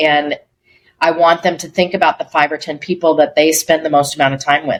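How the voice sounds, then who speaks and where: A woman with an American accent, very deep and low in pitch, flat and monotone, at a moderate pace. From Colorado, US. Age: 60s. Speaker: speaker and life coach. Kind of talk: podcast interview. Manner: conversational, uses many fillers.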